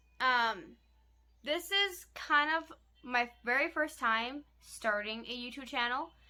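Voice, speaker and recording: A woman talks at a very slow pace. Behind her, music plays in the background. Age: 20s. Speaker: vlogger. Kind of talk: casual Q&A vlog. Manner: casual, frequent fillers.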